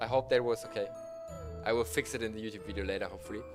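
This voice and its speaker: Music plays in the background as a man speaks with a non-native accent. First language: not English. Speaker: streamer reading stories aloud. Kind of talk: reading aloud with live stream chat. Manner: halting, stumbles over words.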